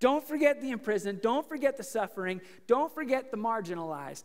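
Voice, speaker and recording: Over a quiet background, the voice keeps a moderate speed. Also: man. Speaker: preacher. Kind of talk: sermon. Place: church.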